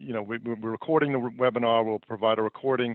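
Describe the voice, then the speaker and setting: A man with an American accent talks at a fairly quick pace and a medium pitch, with fairly even intonation. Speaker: company founder and CEO presenting a webinar. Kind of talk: webinar presentation. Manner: many fillers and repetitions.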